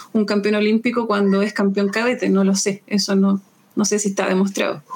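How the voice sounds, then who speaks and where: Against noticeable background noise, a woman talks fairly quickly at a medium pitch with monotone, flat intonation. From Chile. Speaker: taekwondo coach and physical education teacher. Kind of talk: interview.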